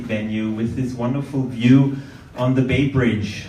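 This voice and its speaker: The intonation is fairly even, with noticeable background noise and audible room echo. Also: man. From Austria, Vienna. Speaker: event moderator. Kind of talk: event moderation. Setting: event venue with audience.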